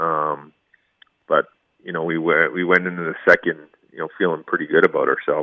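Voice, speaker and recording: At a fairly quick pace, a man talks with long, frequent pauses and big swings in loudness. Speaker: former hockey player. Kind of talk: radio interview.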